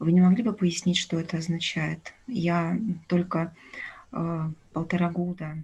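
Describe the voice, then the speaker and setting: A somewhat breathy woman speaks at a fairly slow pace and a fairly low pitch. Her intonation stays fairly even, with long, frequent pauses. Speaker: student. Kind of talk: question from audience.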